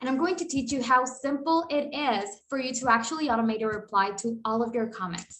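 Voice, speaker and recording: Audible room echo surrounds a woman with a Spanish accent who speaks fairly quickly at a fairly high pitch with ordinary pitch variation. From Costa Rica. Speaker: automation consultant. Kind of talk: tutorial. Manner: animated.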